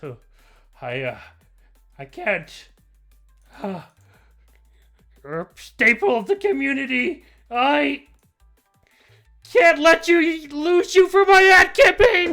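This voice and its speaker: Faint music plays behind a man doing a put-on character voice. He speaks at a fairly slow pace with long, frequent pauses. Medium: actual play. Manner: stammering, self-important.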